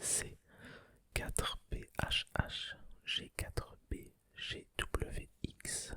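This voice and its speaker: A man whispering. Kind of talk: ASMR card opening. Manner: whispered.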